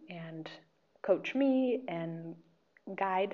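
With an American accent, a woman talks in a fairly low pitch. Her pitch variation is ordinary. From US, Oregon (Medford). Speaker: English teacher. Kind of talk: interview.

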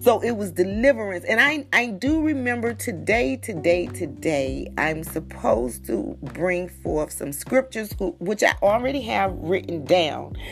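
Music plays in the background as an animated voice moves at a fairly slow pace with hardly any pauses. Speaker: podcaster and prayer leader. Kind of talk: fervent prayer and devotional talk. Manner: fervent, exultant, praising aloud.

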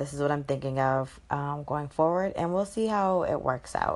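Pitch varies in an ordinary way at a moderate speed. Background noise is noticeable throughout. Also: woman. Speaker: podcast host. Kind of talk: casual solo podcast talk. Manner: hesitant, many ums.

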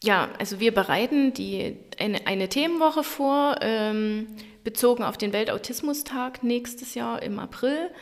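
This woman talks at a fairly slow pace in a high voice with ordinary pitch variation. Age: 30s. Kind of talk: interview.

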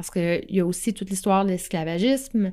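The speaker has a Quebec accent, a dark, mellow tone and fairly even intonation. The recording is very clean, with a silent background. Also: woman. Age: 40s. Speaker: astrology podcaster. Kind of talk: solo podcast monologue. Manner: hesitant, many fillers.

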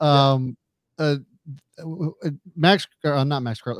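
A man with a Southern US accent, medium in pitch and fairly even in intonation, in a dry, close sound with no echo. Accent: rural, Southern-sounding. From Carroll County, Maryland. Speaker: sports podcast co-host. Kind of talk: casual chat.

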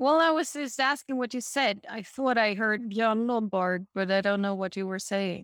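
Hardly pausing, a woman with an unremarkable speaking voice talks at a moderate pace and a fairly high pitch. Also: ordinary pitch variation. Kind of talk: casual chat. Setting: video call.

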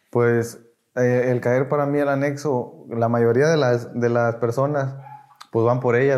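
Speaking at a fairly slow pace, a man keeps a medium pitch in a monotone, flat intonation. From Mexico, Tamaulipas. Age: 20s. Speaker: recovering addict. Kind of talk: testimony.

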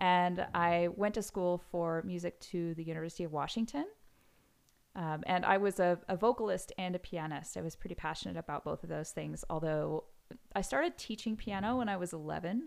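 A woman talks at a fairly quick pace in an American accent, with ordinary pitch variation. It is an unremarkable speaking voice. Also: fairly low pitch for a woman. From US Pacific Northwest, Seattle. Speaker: pianist and composer. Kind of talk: interview.

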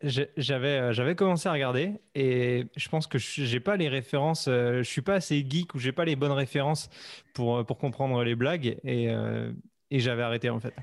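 In a very clean recording with a silent background, a man uses a normal speaking voice at medium pitch, moderate pace and ordinary pitch variation. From western France, Vendée near Nantes. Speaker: podcaster and YouTuber. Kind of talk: casual interview chat.

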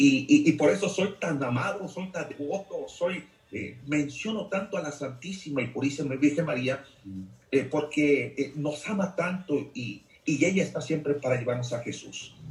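A man talks fairly slowly in a fairly high pitch that varies in an ordinary way. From Mexico, Jalisco. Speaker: deacon. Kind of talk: testimony.

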